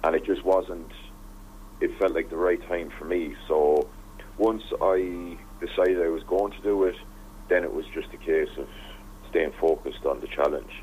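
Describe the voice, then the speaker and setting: Over noticeable background noise, a man with an Irish accent speaks with long, frequent pauses. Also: moderate pace. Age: 20s. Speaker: radio presenter and former teacher, humanitarian volunteer. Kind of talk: radio interview.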